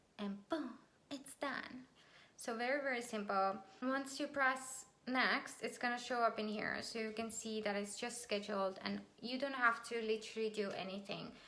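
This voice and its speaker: A woman speaks with a non-native accent. Her fairly high pitch carries fairly even intonation. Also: moderate pace. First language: not English. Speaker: business and marketing YouTuber; online business tutor. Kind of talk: tutorial. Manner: casual, with fillers. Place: home room. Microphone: webcam.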